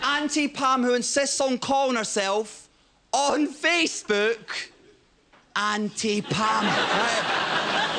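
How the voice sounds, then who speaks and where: Over noticeable background noise, a man projects a raised voice at an extremely high pitch, speaking at a very slow pace with ordinary pitch variation and very even loudness. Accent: Scottish. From Scotland. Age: 20s. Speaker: comedian. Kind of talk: stand-up. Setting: stage with audience. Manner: animated.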